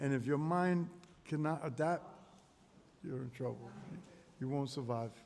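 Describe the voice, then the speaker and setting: This man has a New York accent and a fairly high pitch. He speaks with long, frequent pauses. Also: ordinary pitch variation, moderate pace. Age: 60s. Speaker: street interviewee, voter. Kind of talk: casual street interview. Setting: community center.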